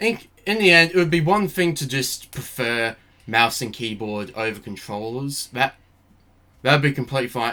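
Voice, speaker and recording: A man speaks at a medium pitch and a moderate pace. His tone is bright and sharp, with lively intonation. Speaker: gaming commentary youtuber. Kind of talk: casual commentary video.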